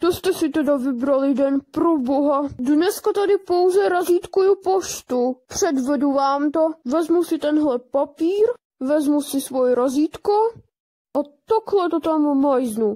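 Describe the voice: The voice is a put-on character voice from a woman. It stays at a high pitch.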